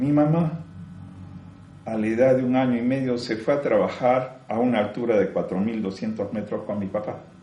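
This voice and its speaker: Noticeable background noise and audible room echo around a man's fairly slow, medium-pitched speech with ordinary pitch variation. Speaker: spiritual teacher. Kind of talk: spiritual talk.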